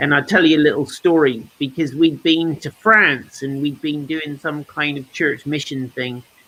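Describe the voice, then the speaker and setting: Loud male voice, fairly high in pitch, with a bright, sharp tone. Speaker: church podcast host. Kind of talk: casual chat.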